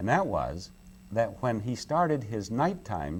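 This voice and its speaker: With vocal fry and very wide swings in pitch, a man speaks at a moderate pace. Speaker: game show host and animal rights advocate. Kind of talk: interview answer.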